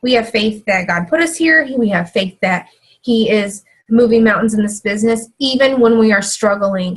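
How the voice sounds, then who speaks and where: A woman's voice is somewhat breathy and fairly high in pitch. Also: ordinary pitch variation, moderate pace, very even loudness. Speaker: fitness team coach. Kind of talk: team call talk.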